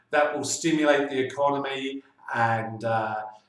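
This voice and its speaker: This man speaks with a London accent. His pitch sits fairly high. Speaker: financial adviser. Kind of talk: monthly video newsletter update. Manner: hesitant, many filler sounds.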